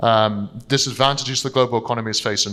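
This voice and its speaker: A bright, sharp tone with a London accent at a fairly quick pace. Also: man. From London, England. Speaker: investment strategist. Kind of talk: seminar presentation. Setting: stage with audience.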